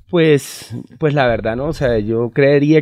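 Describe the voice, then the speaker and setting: Ordinary pitch variation from a man talking at a fairly slow pace. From Barranquilla, Colombia. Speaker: band vocalist. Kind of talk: casual interview. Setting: in a car. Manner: halting, repeats words.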